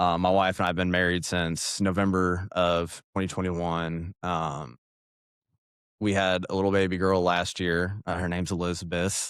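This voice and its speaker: The speech is delivered with monotone, flat intonation on a very clean recording with a silent background. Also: man, very deep, low pitch for a man, moderate pace. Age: 30s. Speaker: political candidate. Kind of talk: interview. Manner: casual, with many fillers.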